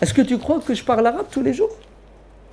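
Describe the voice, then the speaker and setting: The speaker sounds animated and talks at a fairly quick pace. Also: man. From France. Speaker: preacher. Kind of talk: Q&A lecture with audience.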